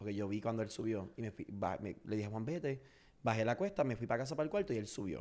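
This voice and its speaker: This man rattles along at a very fast pace, his pitch varying in an ordinary way. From Puerto Rico, Orocovis; Puerto Rico. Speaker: social media comedian; podcast guest. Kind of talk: interview. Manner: loud. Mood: personal, reflective. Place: studio. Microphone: studio mic.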